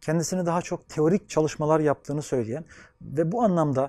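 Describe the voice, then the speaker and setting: A man's fairly high-pitched voice with a dark, mellow tone, fairly quick pace and a dry sound with no echo. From Anatolia, Turkey; Turkey. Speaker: sociologist and gerontology researcher. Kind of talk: interview monologue; interview answer. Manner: formal. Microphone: lapel.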